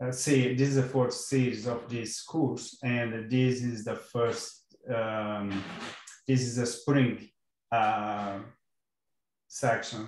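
With audible room echo, a man speaks very slowly in a monotone, flat intonation. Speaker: course instructor. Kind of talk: online class lecture. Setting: video call. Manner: hesitant, many fillers. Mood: relaxed, friendly. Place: home room. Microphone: video call.

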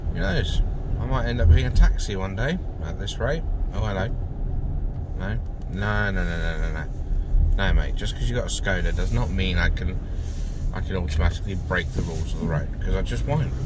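Against loud background noise, a man speaks at a fairly quick pace. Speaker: driver vlogger. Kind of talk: casual driving commentary. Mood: mildly annoyed, chatty. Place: car. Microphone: phone near.

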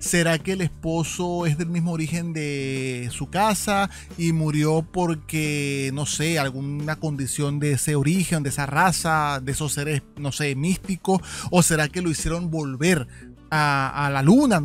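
A man speaks at a fairly slow pace with fairly even intonation. The sound is dry with no echo, and faint music plays in the background. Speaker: anime reaction youtuber. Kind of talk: casual episode review commentary. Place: home room. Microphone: studio mic.

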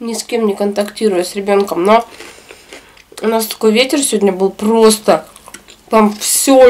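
A woman at a moderate pace, fairly even intonation. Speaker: eating vlogger. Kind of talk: casual vlog chat while eating. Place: home room.

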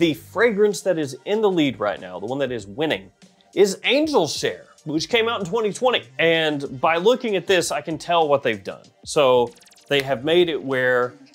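A man speaks at a moderate pace while faint music sits in the background. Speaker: fragrance reviewer. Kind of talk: commentary. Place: studio. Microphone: lapel.

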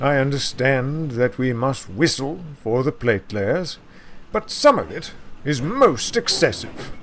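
A man puts on a character voice at medium pitch and a slow pace. His tone is fairly bright, with big pitch swings.

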